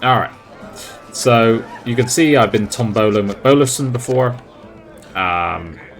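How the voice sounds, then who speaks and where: Over music in the background, a man with a medium pitch and ordinary pitch variation talks at a fairly slow pace with long, frequent pauses. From West Country, England. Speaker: gaming YouTuber. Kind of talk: gameplay commentary. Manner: casual, chatty with fillers.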